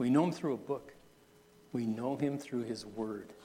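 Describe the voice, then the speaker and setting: The speaker is a man with a dark, mellow tone. His intonation stays fairly even. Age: 60s. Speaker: pastor. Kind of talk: sermon. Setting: church.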